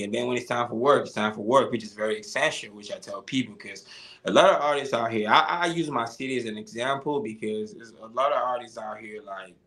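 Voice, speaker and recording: A man speaks at a fairly quick pace with ordinary pitch variation over noticeable background noise. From Nigeria. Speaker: musician. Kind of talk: interview. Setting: live stream. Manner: halting.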